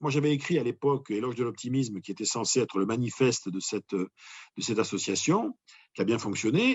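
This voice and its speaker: A man is speaking. His pace is fairly quick. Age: 60s. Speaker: motivational speaker. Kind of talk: interview. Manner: hesitant, many repetitions.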